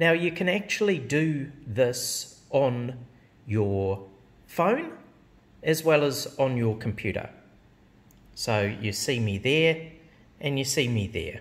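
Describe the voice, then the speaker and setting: A man talks at a very slow pace. His speech has long, frequent pauses. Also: lively intonation. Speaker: software demonstrator. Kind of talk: tutorial. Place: office. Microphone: phone near.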